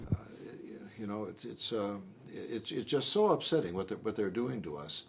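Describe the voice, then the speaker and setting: With an American accent, the speaker is heard over noticeable background noise. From Detroit, Michigan. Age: 70s. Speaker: former school superintendent. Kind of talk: interview. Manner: halting.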